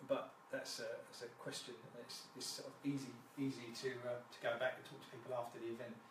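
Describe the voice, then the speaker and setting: A man with a British accent, big swings in loudness, audible room echo and noticeable background noise. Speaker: fire and security business owner. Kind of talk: live presentation. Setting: Facebook live stream. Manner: fast; halting, many fillers and repetitions.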